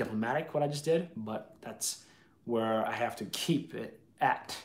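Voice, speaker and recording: Vocal fry runs through this voice, which has lively intonation and a fairly slow pace. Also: man. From US, Boston. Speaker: YouTuber. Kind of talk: live stream chat. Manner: casual, unscripted. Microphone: webcam.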